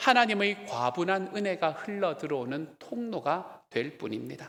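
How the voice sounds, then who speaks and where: In a strong Gyeongsang accent, a man speaks fairly slowly with lively intonation and a bright, sharp tone, on a very clean recording with a silent background. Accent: thick Gyeongsang dialect. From South Korea, Gyeongsang (Miryang). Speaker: pastor. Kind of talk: sermon.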